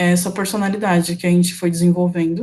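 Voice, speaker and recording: A woman's voice of medium pitch has a dark, mellow tone and sounds somewhat breathy. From São Paulo, Brazil. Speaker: UX designer, alumna speaker. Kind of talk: online talk / presentation.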